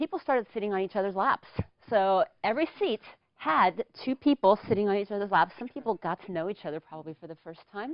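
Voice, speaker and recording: A woman with an unremarkable speaking voice talks at a fairly quick pace, medium in pitch, with lively intonation. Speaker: public speaker. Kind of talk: humorous storytelling speech. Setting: studio.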